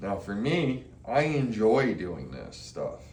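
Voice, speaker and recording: A man speaks at a very slow pace with vocal fry. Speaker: army veteran; DIY hobbyist. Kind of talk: casual talk to camera.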